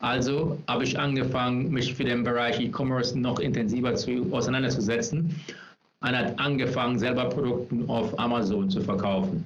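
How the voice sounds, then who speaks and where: A man with an English accent talks at a moderate pace and medium pitch, with ordinary pitch variation. His loudness is very even, while noticeable background noise and audible room echo come through. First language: English (speaking German). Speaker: personal branding specialist. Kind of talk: interview. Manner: halting, many fillers. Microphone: no headphones, echo in recording.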